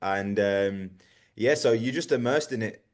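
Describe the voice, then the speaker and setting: Against a quiet background, a man with an English accent speaks at a moderate pace with a fairly low pitch and fairly even intonation. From England, Birmingham. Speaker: soccer coach. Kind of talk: radio interview.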